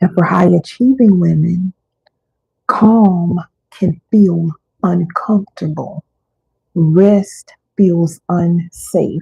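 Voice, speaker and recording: Very slow and somewhat breathy, a woman speaks with a fairly low pitch, a dark, mellow tone and fairly even intonation. Long, frequent pauses break up her speech. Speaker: wellness coach. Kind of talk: live teaching session. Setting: livestream. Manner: deliberate pauses.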